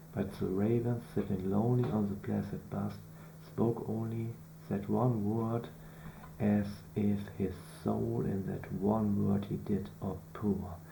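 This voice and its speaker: Against noticeable background noise, a man with a non-native accent speaks at a fairly slow pace. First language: not English. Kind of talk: poetry reading.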